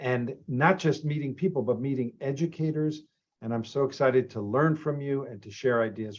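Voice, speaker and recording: A man with an American accent and a normal speaking voice talks at a moderate pace, his pitch fairly high and his loudness swinging widely. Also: ordinary pitch variation. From Boston, Massachusetts. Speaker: program director and lecturer. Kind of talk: orientation introduction. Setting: video call.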